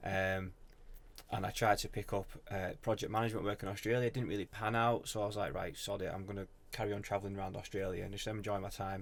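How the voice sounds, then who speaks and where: A man with a northern English accent rattles along at a very fast pace, his fairly low voice flat and monotone. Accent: broad northern English. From northern England. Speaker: social media business owner. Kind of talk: casual podcast chat. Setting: in-person podcast with mics.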